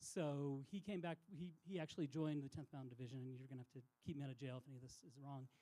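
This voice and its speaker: Hardly pausing, a man talks at a very fast pace. His voice has a dark, mellow tone, a fairly high pitch and ordinary pitch variation. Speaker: outdoor industry insider. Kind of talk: public talk. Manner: soft.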